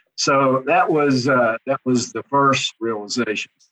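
With a Kentucky accent, a man talks at medium pitch in a dry, close sound with no echo. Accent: Southern US (Kentucky). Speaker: head of HR. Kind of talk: interview conversation. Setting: studio.

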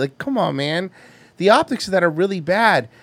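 A man with an American accent is heard on a very clean recording with a silent background, the sound dry and close with no echo. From Florida. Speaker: podcast host. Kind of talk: casual comedic banter. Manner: profane, animated.

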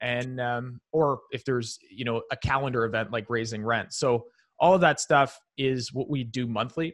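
A man's unremarkable speaking voice at a moderate pace with fairly even intonation and a quiet background. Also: medium pitch for a man. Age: 30s. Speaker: real estate investor. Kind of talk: interview.

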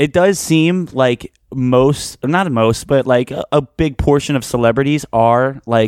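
A man speaks at a medium pitch with a Philadelphia accent. The sound is dry and close, with no echo. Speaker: podcast co-host. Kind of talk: casual chat.

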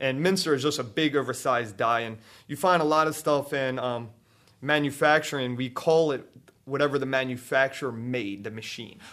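The speaker is a man with a Baltimore accent. He talks at a fairly quick pace with ordinary pitch variation. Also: medium pitch for a man. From Baltimore, Maryland.

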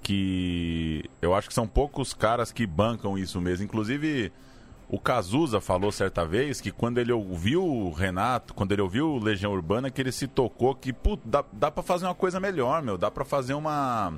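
A man talks with hardly any pauses, his pitch swinging very widely. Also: medium pitch for a man, moderate pace. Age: 30s. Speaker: podcast producer. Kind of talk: casual chat.

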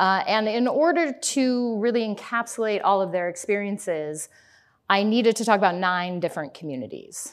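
With an American accent, a woman speaks at a moderate pace in an unremarkable speaking voice, her medium pitch carrying lively intonation over a quiet background. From Colorado. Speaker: historian and author. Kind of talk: lecture. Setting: stage with live audience.

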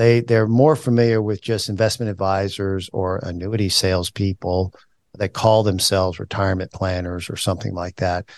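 An ordinary speaking voice moves at a moderate pace against a quiet background, with a dry, close sound with no echo. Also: man, fairly low pitch for a man, fairly even intonation. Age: 60s. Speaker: financial advisor and podcast host. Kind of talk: casual chat. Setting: office.

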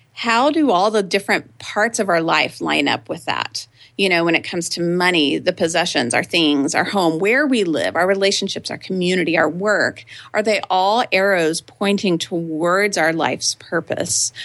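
With an American accent and an unremarkable speaking voice, a woman at medium pitch talks at a moderate pace with lively intonation and hardly any pauses. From Texas, Austin. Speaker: writer and blogger. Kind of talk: interview conversation.

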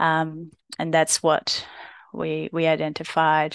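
A woman with a Brazilian accent speaks at a fairly low pitch. The sound is dry and close with no echo, and the background is quiet. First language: Portuguese. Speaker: physiotherapist and researcher. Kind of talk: interview. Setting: podcast.

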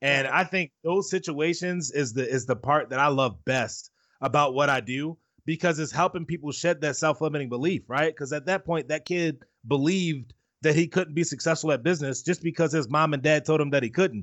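A man with a plain, everyday voice, fairly high pitch, ordinary pitch variation and a fairly quick pace. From Baltimore, US. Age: 20s. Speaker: motivational speaker. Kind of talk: interview.

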